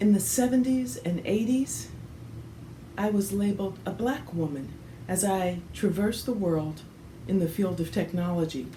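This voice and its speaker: Pausing often and at length, a woman of medium pitch speaks at a moderate pace with lively intonation, and room echo is audible. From US Midwest, Detroit, Michigan. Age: 60s. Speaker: technology professional. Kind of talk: personal testimony.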